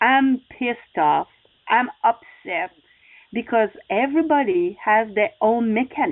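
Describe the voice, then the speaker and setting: A high female voice with a non-native accent, fairly slow, with very wide pitch swings. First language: not English. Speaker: success coach and motorcycle racer. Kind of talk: interview. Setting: radio show.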